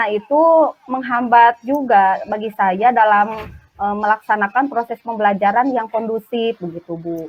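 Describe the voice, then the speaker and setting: A woman speaks at a fairly slow pace with ordinary pitch variation. She hardly pauses at all. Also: fairly high pitch for a woman. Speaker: primary school teacher. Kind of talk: role-play coaching conversation. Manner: hesitant, many fillers.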